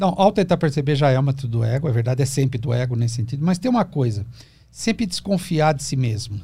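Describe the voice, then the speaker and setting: A man talks at a very fast pace with a fairly high pitch. His voice is somewhat breathy, with lively intonation. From Brazil, São Paulo (ABC region). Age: 50s. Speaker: psychoanalyst. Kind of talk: podcast interview, explanatory talk. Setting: studio.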